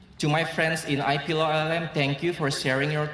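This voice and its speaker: Speaking at a fairly quick pace in an Indonesian accent, a man is heard with audible room echo and noticeable background noise. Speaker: law graduate student. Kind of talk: graduation speech. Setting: stage with audience.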